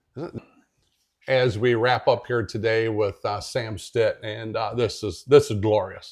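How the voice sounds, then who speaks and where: Over a quiet background, a man speaks at a medium pitch in a somewhat breathy voice. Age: 60s. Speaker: radio show host. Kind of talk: radio interview. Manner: enthusiastic.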